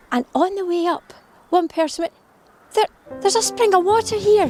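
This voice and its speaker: A woman talks rather slowly while music plays behind her. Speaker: storyteller. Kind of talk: local history storytelling to camera. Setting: outdoors.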